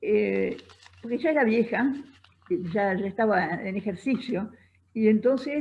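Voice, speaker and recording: A woman speaks at a medium pitch with ordinary pitch variation. Vocal fry shows in her voice. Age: 80s+. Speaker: feminist writer and radio host. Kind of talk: live interview answer.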